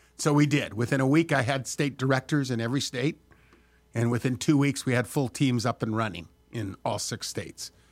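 This is an unremarkable speaking voice, a man with an American accent at medium pitch and ordinary pitch variation. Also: fairly quick pace, very clean recording, silent background. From Southern California. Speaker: former state senator. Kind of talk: interview.

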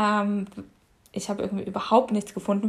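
A woman's somewhat breathy voice, fairly high in pitch, moves at a fairly quick pace. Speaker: yoga teacher. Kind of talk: casual conversation. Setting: at home in the kitchen.

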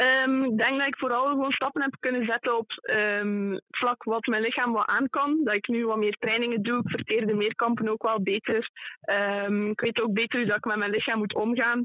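A woman speaks in a plain, everyday voice. Her pitch is fairly high, and her intonation stays fairly even. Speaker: junior athlete. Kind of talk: interview. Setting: phone call.

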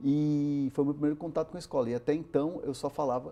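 Against a quiet background, a man with a dark, mellow tone speaks at a fairly high pitch and a moderate pace. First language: Spanish (speaking Portuguese). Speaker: sports reporter. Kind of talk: interview. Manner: halting, many repetitions.

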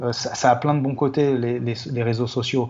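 A man's medium-pitched, somewhat breathy voice at a moderate pace, monotone and flat in intonation. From Paris, France. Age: 50s. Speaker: hip-hop photographer. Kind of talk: casual interview chat. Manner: halting, many repetitions.

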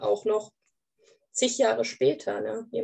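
A woman talks at a fairly slow pace. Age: 30s. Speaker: grief counselor. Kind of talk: casual interview.

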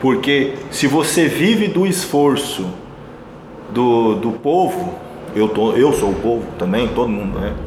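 At a very slow pace with long, frequent pauses, a man at a medium pitch swings very widely in pitch, with noticeable background noise and audible room echo. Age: 30s. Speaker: entrepreneur. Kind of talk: interview.

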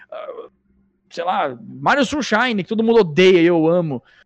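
A man's high-pitched voice at a moderate pace, with lively intonation. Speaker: gaming YouTuber. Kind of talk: casual chat.

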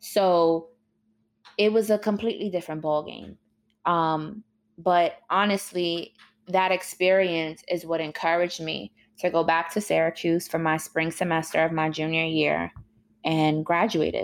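In a normal speaking voice, a woman with an American accent talks at a fairly slow pace, fairly low in pitch with fairly even intonation. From New York City (Harlem). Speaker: media host. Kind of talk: interview. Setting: remote call.

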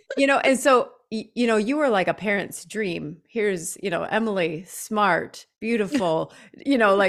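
Fairly high in pitch and with an American accent, a woman speaks fairly slowly with lively intonation in an unremarkable speaking voice, captured in a very clean recording with a silent background. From US Midwest, Janesville, Wisconsin. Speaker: podcast co-host. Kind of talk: casual conversation. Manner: laughs often.

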